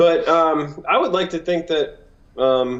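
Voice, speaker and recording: A man speaks at a fairly slow pace with an American accent. His pitch varies in an ordinary way, and there is noticeable background noise. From Wisconsin. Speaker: singer-songwriter. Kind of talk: casual chat.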